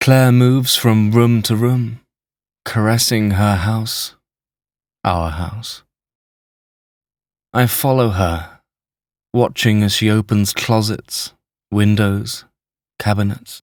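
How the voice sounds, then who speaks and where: On a very clean recording with a silent background, a man with a fairly low pitch speaks at a very slow pace with long, frequent pauses and fairly even intonation. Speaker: voice actor, audiobook narrator. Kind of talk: literary audiobook narration, first person present tense.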